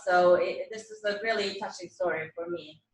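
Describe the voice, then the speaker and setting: Her voice sits at a medium pitch with fairly even intonation. The woman speaks in a Swedish accent. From Sweden. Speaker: event organizer. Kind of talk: closing remarks at virtual panel.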